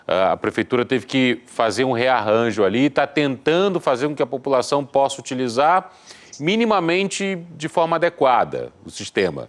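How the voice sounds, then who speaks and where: A man speaks at a moderate pace in a fairly high voice, with lively intonation, very even loudness and noticeable background noise. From Rio de Janeiro, Brazil. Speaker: radio host. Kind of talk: interview.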